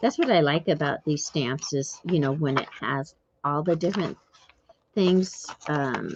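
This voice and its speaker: A woman is speaking. Her pace is very slow. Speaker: craft YouTuber. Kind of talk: casual chat while crafting.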